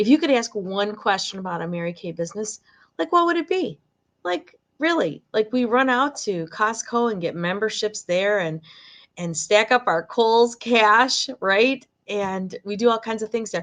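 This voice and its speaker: Lively in intonation and fairly high in pitch, a woman with a Michigan accent talks at a moderate pace. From Michigan, near Detroit. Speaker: direct sales director. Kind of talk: live sales presentation. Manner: casual, chatty with fillers.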